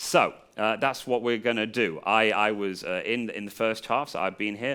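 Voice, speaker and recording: In a very clean recording with a silent background, a man with an English accent speaks at a moderate pace, with a medium pitch, ordinary pitch variation and a bright, sharp tone. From England. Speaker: comedian and freestyle rapper. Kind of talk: improv lesson to a live audience.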